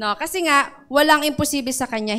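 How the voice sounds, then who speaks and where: A woman speaks at a high pitch and moderate pace with ordinary pitch variation, her tone bright, sharp and animated. The background is quiet. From Philippines. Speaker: preacher. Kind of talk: sermon. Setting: church with live audience. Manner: exhortative, repeats points. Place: church. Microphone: handheld.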